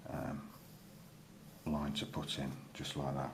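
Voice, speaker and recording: A man mumbles in a very deep, low voice against audible room echo. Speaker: drawing tutor. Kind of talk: tutorial. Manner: mumbling; casual, hesitant with many fillers.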